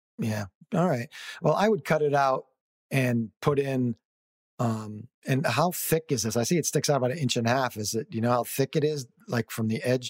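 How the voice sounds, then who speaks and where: A man with an ordinary speaking voice, medium pitch and ordinary pitch variation talks at a moderate pace in a dry, close sound with no echo. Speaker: radio co-host. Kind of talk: radio host patter. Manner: relaxed, chatty.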